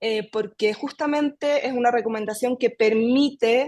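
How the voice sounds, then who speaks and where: Against a quiet background, a woman with a Chilean accent talks at a moderate pace in a fairly high pitch. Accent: Chilean, noticeable. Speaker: independent consultant. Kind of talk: online meeting discussion.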